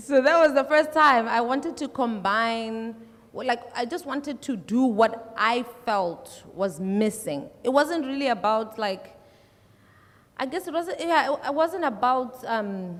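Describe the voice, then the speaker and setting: A woman talks at a fairly slow pace. Her high voice has lively intonation. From South Africa, Limpopo. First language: Tsonga. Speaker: musician. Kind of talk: panel discussion.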